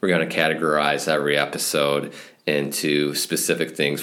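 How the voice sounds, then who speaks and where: With noticeable background noise behind him, a man talks at a moderate pace in a very deep, low voice with monotone, flat intonation. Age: 30s. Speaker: podcast host, snowmobile business owner. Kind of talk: podcast monologue.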